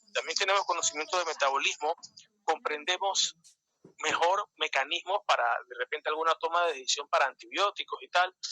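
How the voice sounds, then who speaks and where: Speaking at a fairly quick pace, a man with a high pitch keeps his intonation fairly even, in a dry, close sound with no echo. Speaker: microbiology lecturer. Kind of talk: lecture. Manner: fast.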